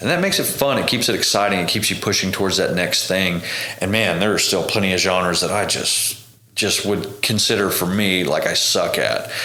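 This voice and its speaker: A man with an American accent talks at a fairly quick pace and a very even loudness, with noticeable background noise and audible room echo. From Oklahoma, Tishomingo. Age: 30s. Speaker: touring bass player. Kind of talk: casual interview chat.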